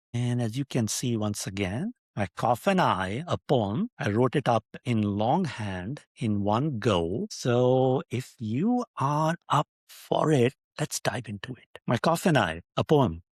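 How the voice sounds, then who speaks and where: A man with a Pakistani accent speaks at a very slow pace with a medium pitch and lively intonation, the sound dry and close with no echo in a very clean recording with a silent background. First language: Urdu. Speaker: podcast host. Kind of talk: casual monologue with poetry reading. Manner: playful, animated.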